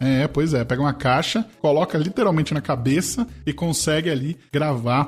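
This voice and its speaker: Over music in the background, a man talks at a moderate pace in a fairly high pitch with ordinary pitch variation. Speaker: radio announcer and sports commentator. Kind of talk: casual talk about voice work. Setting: home recording, directional microphone.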